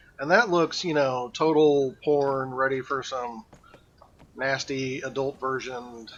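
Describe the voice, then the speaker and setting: Mumbling from a man, in fairly even intonation. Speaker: game streamer. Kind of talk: live gameplay stream chat. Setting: live stream. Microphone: old mic, too quiet.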